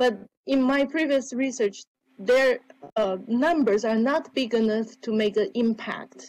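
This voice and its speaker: A woman speaks at a high pitch and a fairly slow pace. Her loudness stays very even, with ordinary pitch variation. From Taiwan. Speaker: academic researcher. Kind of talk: conference Q&A. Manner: halting.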